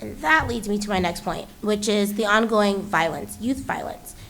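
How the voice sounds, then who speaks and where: The voice has ordinary pitch variation, with audible room echo in the recording. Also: woman. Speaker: school board member. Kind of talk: board meeting report. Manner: fast; animated.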